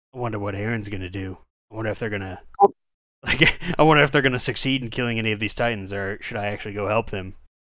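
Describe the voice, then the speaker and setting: A man's put-on character voice, fairly low-pitched and raspy, at a very fast pace. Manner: dramatic, brooding.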